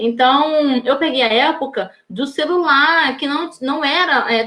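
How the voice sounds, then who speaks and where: A woman speaks very slowly in a high-pitched voice. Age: 30s. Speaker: educator giving a teacher training talk. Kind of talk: live online talk. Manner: hesitant, many fillers.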